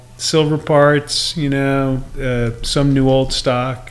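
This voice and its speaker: The man talks at a very slow pace with medium pitch and monotone, flat intonation. Noticeable background noise is present. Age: 60s. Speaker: cyclist guest. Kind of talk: casual chat.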